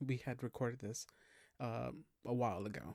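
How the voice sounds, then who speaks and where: A quiet man speaks at a fairly slow pace with ordinary pitch variation, captured on a very clean recording with a silent background and a dry, close sound with no echo. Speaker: podcast host. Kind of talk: casual podcast intro. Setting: at home, past midnight. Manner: quiet, hushed; hesitant, many fillers.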